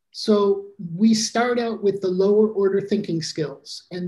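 Fairly even intonation and a dark, mellow tone with an American accent, over a quiet background. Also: man. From US Midwest. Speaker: teacher trainer. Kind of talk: online workshop presentation. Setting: video call. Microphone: video call.

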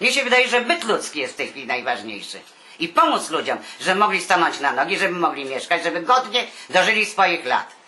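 A woman's medium-pitched voice at a very fast pace, with very wide pitch swings, over noticeable background noise. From Warsaw, Poland. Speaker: retired artist. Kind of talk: interview answer.

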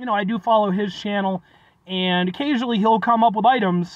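A very fast pace in a dry sound with no echo. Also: man. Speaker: food reviewer. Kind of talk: casual vlog chat. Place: car. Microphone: phone near.

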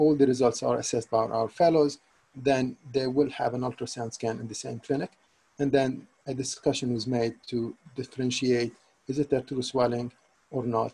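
In a medium pitch, a man talks at a moderate pace in a dark, mellow, somewhat breathy tone with monotone, flat intonation. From Syria. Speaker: consultant neuro-ophthalmologist. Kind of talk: lecture. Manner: halting, with many repetitions. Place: home room. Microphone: webcam.

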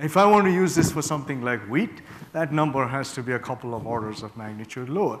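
Over light background noise, a man talks at a very fast pace and fairly high pitch, with lively intonation and big swings in loudness. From Northeast India. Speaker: professor. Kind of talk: lecture. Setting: stage with audience. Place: hall.

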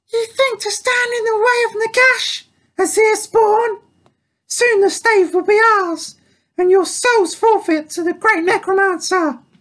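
The voice is a put-on character voice at an extremely high pitch. It moves at a fairly slow pace. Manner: menacing, stormy.

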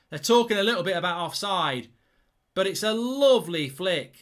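Against a quiet background, a man's high-pitched voice makes very wide pitch swings. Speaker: football fan channel presenter. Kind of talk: live commentary-style reaction. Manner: excitable, loud, gushing with superlatives. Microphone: studio mic.

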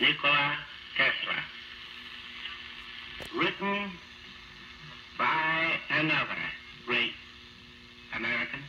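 A man at a very slow pace with long, frequent pauses and noticeable background noise. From United States, New York City. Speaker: mayor of New York City. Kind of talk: radio eulogy reading. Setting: 1943 radio broadcast, cleaned-up old recording. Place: studio. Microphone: old recording.

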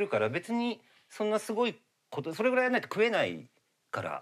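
The background is quiet as the man talks. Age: 50s. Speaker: makeup artist; guest. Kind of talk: casual chat. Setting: studio. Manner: hesitant, many fillers. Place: studio. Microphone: lapel.

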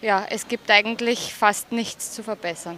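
A woman with an Austrian accent, fairly high-pitched and fairly slow, in a dry, echo-free recording with light background noise. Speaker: show jumping rider. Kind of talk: sports interview. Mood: cheerful, pleased. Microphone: handheld.

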